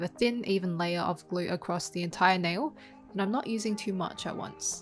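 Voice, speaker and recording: A woman's medium-pitched voice with ordinary pitch variation over music in the background. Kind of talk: beauty tutorial voiceover.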